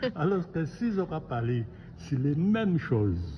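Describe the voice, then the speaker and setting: Very wide pitch swings in a man's voice pitched fairly high. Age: 80s+. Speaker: family business owner. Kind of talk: interview answer.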